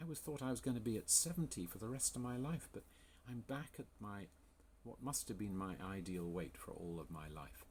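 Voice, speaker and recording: A man with an English accent talks at a fairly quick pace and medium pitch. His pitch swings very widely. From England. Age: 60s. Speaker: health coach. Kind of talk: sales pitch. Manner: enthusiastic.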